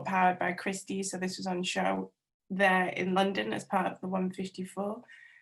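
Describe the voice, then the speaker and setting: Somewhat breathy speech from a woman with a North Welsh accent, medium pitch and moderate pace. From North Wales. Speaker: textile artist. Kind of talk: webinar talk about own artworks.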